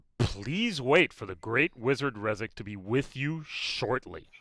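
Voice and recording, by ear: Using a put-on character voice, a man booms at a medium pitch and a fairly slow pace.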